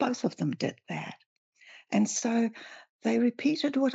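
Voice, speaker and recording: A woman speaks at a fairly slow pace. Her voice is high-pitched. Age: 70s. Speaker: spiritual teacher and author. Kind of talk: interview.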